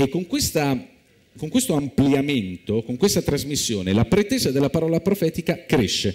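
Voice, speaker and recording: Speaking at a moderate pace against a quiet background, a man uses vocal fry and swings his pitch very widely. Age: young. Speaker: biblical studies professor; speaker. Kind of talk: lecture. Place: stage. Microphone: lapel.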